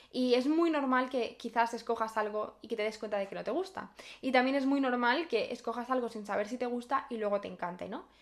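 Hardly pausing, a woman talks at a fairly quick pace in a high voice with ordinary pitch variation. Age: 20s. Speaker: podcaster, university student. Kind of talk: casual personal monologue. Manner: spontaneous, unscripted.

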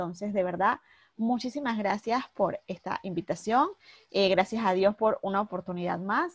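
Somewhat breathy and at a moderate pace, the voice shows ordinary pitch variation in a dry, close sound with no echo. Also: woman, medium pitch for a woman. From Panama, Panama City. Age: 30s. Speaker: fashion blogger. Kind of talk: interview.

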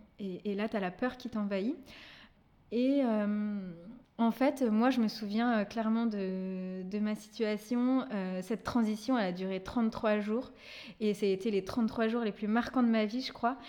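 A dark, mellow tone moves at a fairly slow pace with fairly even intonation in a very clean recording over a silent background. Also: woman, fairly high pitch for a woman. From Brittany, France. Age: 30s. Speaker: event manager, single mother. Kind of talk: testimony.

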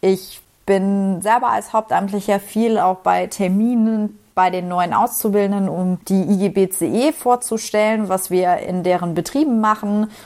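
In a plain, everyday voice, the speaker moves at a fairly slow pace with fairly even intonation and hardly any pauses. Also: woman, medium pitch for a woman. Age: 20s. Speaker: trainee union secretary. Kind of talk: pre-recorded voice message.

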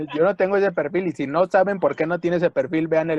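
A man speaks with a high pitch in a dry, close sound with no echo. Noticeable background noise comes through. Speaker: podcast co-host, folk dancer. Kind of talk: casual chat. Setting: home.

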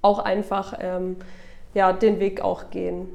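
A woman's voice sits at a medium pitch. She talks at a very slow pace. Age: 20s. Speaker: business owner. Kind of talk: interview. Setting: studio.

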